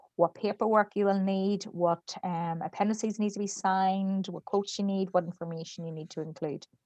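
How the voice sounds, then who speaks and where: Her tone is dark and mellow, and her medium pitch holds a monotone, flat intonation. The woman's recording is dry and close, with no echo. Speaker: grant consultant presenter. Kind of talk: webinar presentation.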